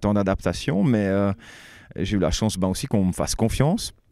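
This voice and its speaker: Against a quiet background and with dry sound and no echo, a man speaks at a moderate pace in a dark, mellow tone with a fairly low pitch. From French-speaking Switzerland. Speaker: singer and composer of a metal band. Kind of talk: band interview. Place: hall.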